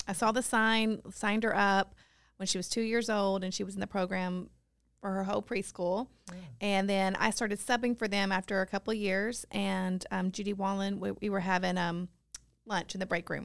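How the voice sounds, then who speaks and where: Spoken in a Tennessee accent with monotone, flat intonation, on a very clean recording with a silent background. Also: woman, medium pitch for a woman, moderate pace. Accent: Tennessee Southern. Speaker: preschool ministry director. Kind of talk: casual interview. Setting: studio.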